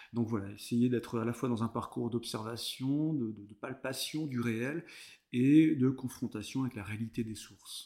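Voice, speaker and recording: A man with a medium-pitched voice and a dark, mellow tone speaks with fairly even intonation. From France, Vendée (Bocage). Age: 30s. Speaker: cultural heritage worker. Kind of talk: casual interview chat. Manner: hesitant, many fillers.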